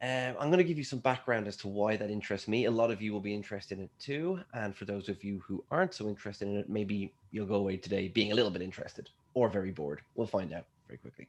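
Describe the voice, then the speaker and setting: The speaker talks at a very fast pace with an Irish accent. Pitch variation is ordinary, and there are hardly any pauses. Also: man, fairly low pitch for a man. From Ireland. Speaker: scientist. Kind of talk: lecture.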